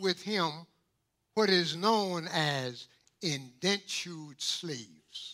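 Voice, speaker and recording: A man speaks at a very slow pace in a raised, projected voice with a bright, sharp tone. His pitch swings very widely. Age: 90s. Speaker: pastor. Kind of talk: sermon. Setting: church. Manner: animated.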